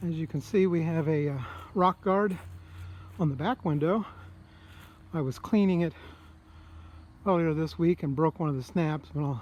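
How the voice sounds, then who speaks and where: Here a man speaks at a moderate pace in a fairly high voice with ordinary pitch variation. Long pauses come often. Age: 60s. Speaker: private seller showing his travel trailer. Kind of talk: walkaround tour video. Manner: casual, with hesitations.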